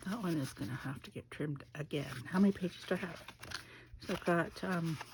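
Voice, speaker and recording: Soft-spoken, a woman talks at a fairly low pitch with ordinary pitch variation. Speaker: craft video maker. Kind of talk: casual craft tutorial.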